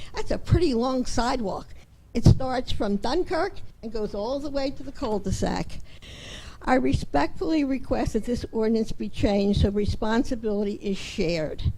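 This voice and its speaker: Speaking at a moderate pace with an American accent, a woman with a fairly high pitch, a dark, mellow tone and very wide pitch swings is heard amid audible room echo. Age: 80s+. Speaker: resident speaking at public comment. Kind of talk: public comment at council meeting. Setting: town council meeting.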